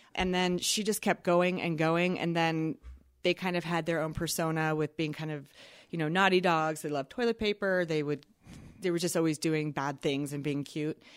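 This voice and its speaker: This is a normal speaking voice with fairly even intonation at a moderate pace. The recording is very clean, with a silent background. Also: woman, fairly low pitch for a woman. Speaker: Instagram content creator. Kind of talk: casual interview chat.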